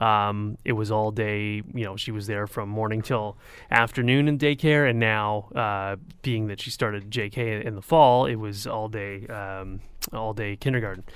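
The recording is very clean, with a silent background. A man speaks at a moderate pace with a fairly low pitch and fairly even intonation. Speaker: radio weather reporter. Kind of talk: casual chat. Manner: halting, many fillers.

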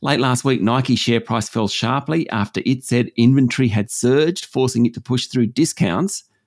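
A man with an Australian accent, lively intonation and a moderate pace. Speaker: business news presenter. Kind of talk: news reading, delivering business headlines. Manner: steady, clear, measured, formal newsreader delivery.

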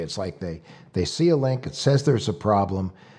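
A somewhat breathy man talks with very wide pitch swings against a quiet background. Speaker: podcast host. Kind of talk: casual chat.

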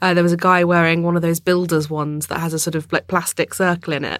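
Speaking at a fairly quick pace, a woman with a southern English accent has a fairly low pitch. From London, England. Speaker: journalist and author. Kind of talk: casual chat.

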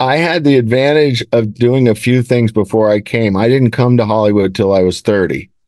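An ordinary speaking voice from a man, medium in pitch with ordinary pitch variation, very even loudness, a moderate pace and hardly any pauses. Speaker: film producer. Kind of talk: interview.

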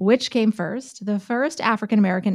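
Speaking at a fairly quick pace, a woman uses a medium pitch with ordinary pitch variation. It is a normal speaking voice on a very clean recording with a silent background. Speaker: news host. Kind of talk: casual podcast chat.

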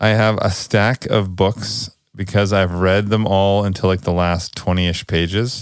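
A man with an ordinary speaking voice talks at a moderate pace and a fairly low pitch, in a very clean recording with a silent background. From Canada, British Columbia. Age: 30s. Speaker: podcast co-host. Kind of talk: casual chat.

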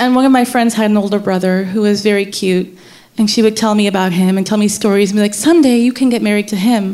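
A woman's normal speaking voice with an American accent, fairly high-pitched, with fairly even intonation at a fairly quick pace. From US Mid-Atlantic, later Pakistan. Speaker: storyteller. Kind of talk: live storytelling. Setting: stage with audience.

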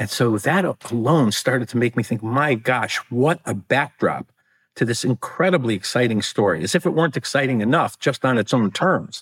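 Speaking in an American accent at a moderate pace, a man with a medium pitch and a somewhat breathy voice uses lively intonation and very even loudness, recorded dry and close with no echo, very clean with a silent background. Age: 60s. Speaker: author. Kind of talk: interview.

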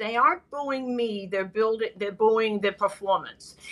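A woman with an American accent talks at a moderate pace in an unremarkable speaking voice. Her pitch is fairly high and varies in an ordinary way. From Boston. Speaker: baseball broadcaster. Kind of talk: casual chat. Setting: hotel room, remote call. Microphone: bad connection.

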